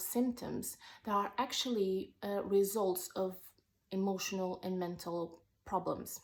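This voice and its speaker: A woman's medium-pitched voice with a non-native accent, at a fairly slow pace. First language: not English. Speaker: wellness vlogger. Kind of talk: personal vlog monologue. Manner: halting, with fillers.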